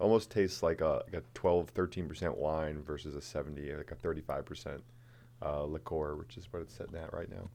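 A man speaks at a fairly quick pace in a very deep, low pitch with a dark, mellow tone, vocal fry, ordinary pitch variation and big swings in loudness. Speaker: distillery co-owner. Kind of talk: casual chat. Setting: studio.

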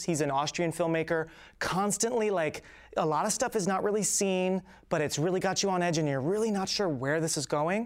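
Recorded very cleanly over a silent background, a man with an American accent and a plain, everyday voice speaks with ordinary pitch variation. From South Jersey, Philadelphia suburbs. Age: 30s. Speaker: filmmaker and acting teacher. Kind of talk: casual interview.

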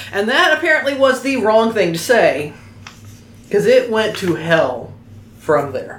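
A woman with an American accent speaks at a fairly slow pace with long, frequent pauses and very wide pitch swings, over noticeable background noise and audible room echo. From Oklahoma. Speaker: podcast host. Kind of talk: casual chat.

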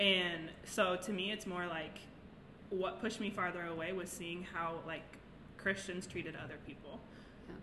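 A woman with an American accent at a medium pitch and moderate pace, with noticeable background noise and audible room echo. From Nebraska. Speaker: ceramic artist and youth mentor. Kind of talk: casual chat.

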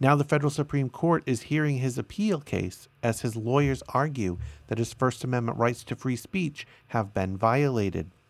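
Recorded very cleanly against a silent background, a man with an unremarkable speaking voice talks at a moderate pace and medium pitch with lively intonation. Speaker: solo podcast host. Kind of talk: news reading with commentary. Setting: live stream recording.

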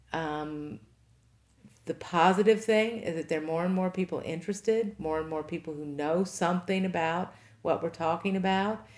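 With an American accent, a woman speaks at a moderate pace in a fairly low voice with ordinary pitch variation, on a very clean recording with a silent background. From Kentucky, Henry County. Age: 50s. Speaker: farmer and nonprofit director. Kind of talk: interview.

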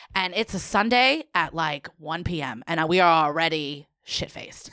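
In a New York accent, a woman speaks at a fairly slow pace in a bright, sharp tone. The recording is very clean and silent behind her, dry and close with no echo. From New York City.

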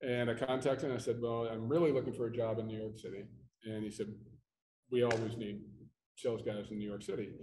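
In an American accent, a man speaks at medium pitch with a dark, mellow tone. There is audible room echo. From Pittsburgh, Pennsylvania. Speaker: flooring installation certification executive. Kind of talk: casual chat. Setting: convention floor.

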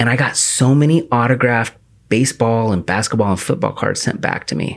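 A man with an American accent talks in a normal speaking voice at medium pitch and a fairly quick pace. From US Pacific Northwest, The Dalles, Oregon. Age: 30s. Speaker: podcast host. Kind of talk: casual chat.

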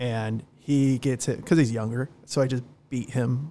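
The voice has a dark, mellow tone and an American accent. Its intonation is fairly even. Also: man. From Southern California. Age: 30s. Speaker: bar manager. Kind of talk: casual interview. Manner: halting.

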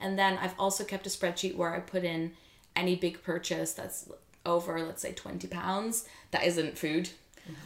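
Vocal fry at a moderate pace, with monotone, flat intonation. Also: woman, fairly low pitch for a woman. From Netherlands. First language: Dutch. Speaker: YouTuber and freelance content creator. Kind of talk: interview conversation.

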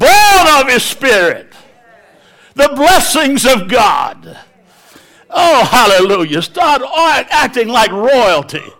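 A man speaks in a raised, projected voice at an extremely high pitch, with very wide pitch swings. His pace is very slow, with long, frequent pauses, and background noise is noticeable. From Africa. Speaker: evangelist. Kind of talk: sermon. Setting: stage with audience. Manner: animated.

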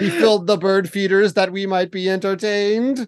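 At a middle pitch, a put-on character voice performs in a Mid-Atlantic accent. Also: moderate pace. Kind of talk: refined, formal.

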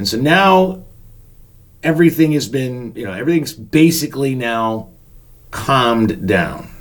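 Speaking with an American accent, a man uses a fairly high pitch with very wide pitch swings. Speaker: podcast host and storyteller, former park usher manager. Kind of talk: storytelling podcast narration. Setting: home studio.

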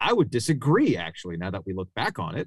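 A man's plain, everyday voice, fairly low-pitched with lively intonation, on a very clean recording with a silent background. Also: dry, close sound with no echo. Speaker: sports radio host. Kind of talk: casual chat.

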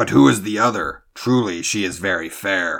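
A man puts on a growling, guttural character voice at a fairly low pitch.

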